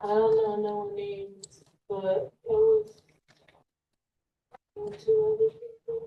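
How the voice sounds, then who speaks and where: A quiet woman at a very slow pace, with long, frequent pauses. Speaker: trial witness. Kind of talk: courtroom testimony. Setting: courtroom. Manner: quiet, hard to hear; hesitant, brief answers.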